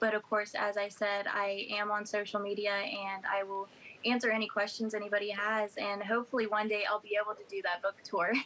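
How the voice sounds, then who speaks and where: A woman with an American accent speaks fairly quickly at medium pitch in a monotone, flat delivery, with noticeable background noise. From West Virginia. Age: 20s. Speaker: author. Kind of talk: interview. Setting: video call.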